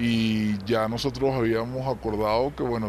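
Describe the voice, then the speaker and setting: With a Venezuelan accent, a man of medium pitch speaks at a moderate pace and fairly even intonation amid noticeable background noise. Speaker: Venezuelan immigrant interviewee. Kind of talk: interview testimony.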